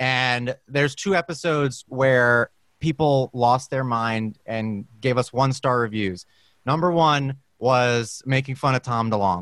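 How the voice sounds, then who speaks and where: A man's plain, everyday voice at medium pitch, fairly slow in pace with ordinary pitch variation, in a dry, close sound with no echo. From Brooklyn, New York. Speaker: guest, voiceover actor. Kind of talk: casual chat. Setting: video call.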